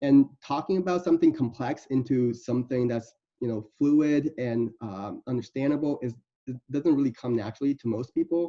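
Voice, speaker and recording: Using a dark, mellow tone at medium pitch, a man talks with a non-native accent. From Iowa City, Iowa, US. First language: not English. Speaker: medical student. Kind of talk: presentation. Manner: halting.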